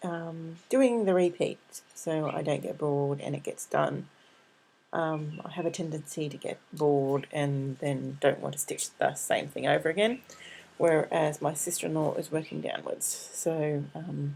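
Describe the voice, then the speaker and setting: A woman mumbles with an Australian accent. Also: fairly slow pace. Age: 40s. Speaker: craft vlogger. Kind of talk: casual vlog update. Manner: mumbling.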